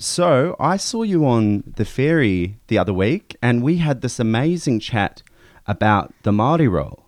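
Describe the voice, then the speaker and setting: Against a quiet background, a man speaks at a fairly slow pace with very wide pitch swings and very even loudness. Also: medium pitch for a man. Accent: New Zealand. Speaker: radio host. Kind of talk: radio interview. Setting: studio.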